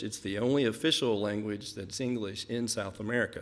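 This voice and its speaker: With a Kentucky accent, a man talks at a fairly quick pace. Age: 50s. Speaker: missionary. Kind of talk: mission report presentation.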